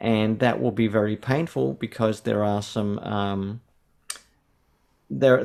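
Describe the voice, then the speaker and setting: A man with an Australian accent speaks at a moderate pace, his fairly low voice showing ordinary pitch variation. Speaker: theology professor. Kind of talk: interview conversation.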